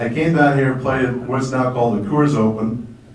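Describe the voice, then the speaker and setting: Amid noticeable background noise and audible room echo, a man speaks at a moderate pace and medium pitch with ordinary pitch variation. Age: 60s. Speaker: former golf pro. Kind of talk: testimony.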